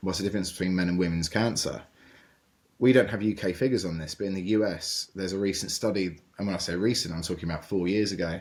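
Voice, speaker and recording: In a very clean recording with a silent background, a man talks at a very fast pace in a very deep, low pitch. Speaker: cancer charity founder and survivor. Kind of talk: interview conversation. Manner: loud; hesitant, many fillers and repetitions.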